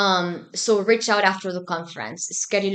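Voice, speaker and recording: A woman speaks with a Spanish accent at a moderate pace. Her tone is bright and sharp. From Argentina, Buenos Aires. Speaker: student organization president. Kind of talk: podcast interview.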